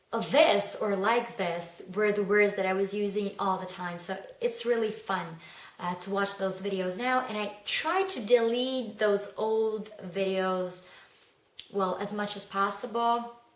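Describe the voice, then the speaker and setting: In a room with audible echo and noticeable background noise, a woman speaks at a medium pitch. Her intonation is fairly even and her pace fairly slow. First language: not English. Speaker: beauty vlogger. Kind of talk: casual vlog monologue. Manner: hesitant, with fillers.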